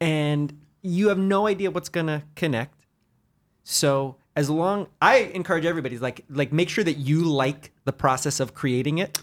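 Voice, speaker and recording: A man with an unremarkable speaking voice, fairly high in pitch, at a moderate pace with ordinary pitch variation. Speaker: DJ and record label co-founder. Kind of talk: casual chat. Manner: joking.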